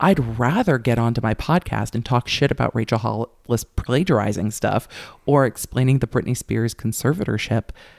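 A man's medium-pitched voice with vocal fry, ordinary pitch variation and a moderate pace, in a very clean recording with a silent background and a dry, close sound with no echo. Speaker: former prosecutor turned YouTuber. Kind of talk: casual interview chat. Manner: animated, loud.

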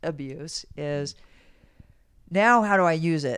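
On a very clean recording with a silent background, a woman with a plain, everyday voice speaks in a fairly low pitch with ordinary pitch variation. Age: 60s. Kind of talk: casual interview conversation.

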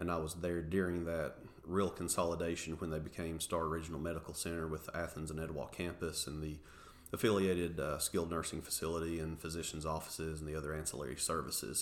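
A very fast man's voice, very deep and low, with an East Tennessee accent. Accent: Southern US (East Tennessee). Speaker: university marketing executive. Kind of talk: interview. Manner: enthusiastic.

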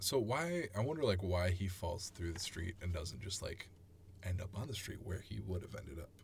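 Somewhat breathy, a man speaks at a moderate pace in a very deep, low pitch. His pitch varies in an ordinary way. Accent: American. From Chicago suburbs, Illinois. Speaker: musician. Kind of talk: casual chat.

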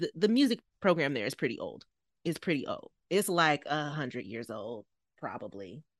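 A woman speaks with vocal fry in a dry, close sound with no echo. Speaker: podcast co-host. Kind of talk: casual chat.

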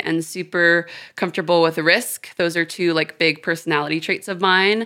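In an American accent, a woman speaks with a fairly low pitch and a bright, sharp tone. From Houston, Texas and London. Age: 20s. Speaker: tattoo artist. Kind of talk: casual chat. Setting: studio. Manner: animated.

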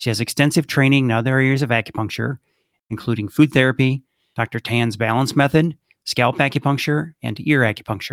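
In an unremarkable speaking voice, a man talks at a fairly quick pace with medium pitch and fairly even intonation, the sound dry and close with no echo on a very clean recording with a silent background. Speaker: podcast host. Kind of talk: interview, intro and sponsor read.

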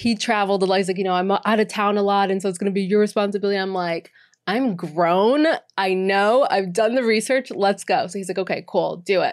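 Her pace is fairly quick, her pitch medium, and her intonation fairly even in a normal speaking voice. The woman is recorded very cleanly against a silent background. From Boston, Massachusetts. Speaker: co-working business manager. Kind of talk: casual interview. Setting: in person studio.

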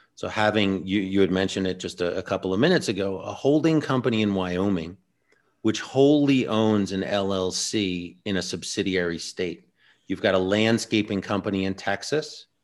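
A normal speaking voice comes at a moderate pace with ordinary pitch variation on a very clean recording with a silent background. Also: man, fairly low pitch for a man. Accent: American. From New Jersey. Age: 40s. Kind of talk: interview.

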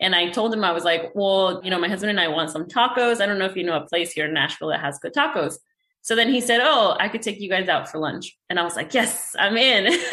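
A woman with a Spanish accent speaks at a very fast pace with hardly any pauses, her medium-pitched voice bright and sharp in tone and lively in intonation. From Mexico. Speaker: real estate investor. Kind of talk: interview. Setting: video call.

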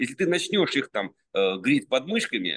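Recorded dry and close with no echo, a man talks at a moderate pace with vocal fry and very wide pitch swings. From Russia, Penza region. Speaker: sculptor. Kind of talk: casual interview chat. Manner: halting, many fillers.

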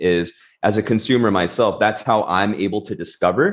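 This man has an unremarkable speaking voice. He speaks at a fairly low pitch with ordinary pitch variation. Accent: American. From Southern California. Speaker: food brand entrepreneur. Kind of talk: interview.

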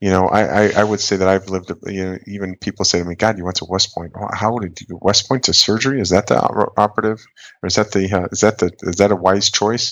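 A man with an American accent, a fairly low pitch, a very fast pace and fairly even intonation. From US Midwest, northern Wisconsin. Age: 40s. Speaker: colorectal surgeon. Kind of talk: interview.

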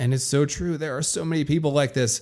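Fairly even intonation from a man with a fairly high voice. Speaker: podcast host and business coach. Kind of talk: motivational pep talk, direct address to listeners. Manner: passionate, forceful, emphatic.

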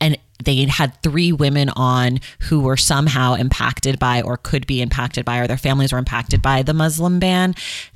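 An American accent colors a woman's animated tone. She talks at a fairly quick pace with ordinary pitch variation. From US West Coast, Oakland, California. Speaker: podcast host, book podcaster. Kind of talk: casual interview chat.

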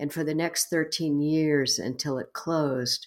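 A woman with an American accent at a fairly slow pace, fairly even intonation, on a very clean recording with a silent background. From Texas. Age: 70s. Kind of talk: interview conversation.

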